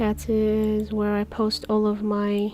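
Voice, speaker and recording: A soft-spoken woman talks with a non-native accent. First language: not English. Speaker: comic artist streamer. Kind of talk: live stream commentary while drawing. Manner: low energy.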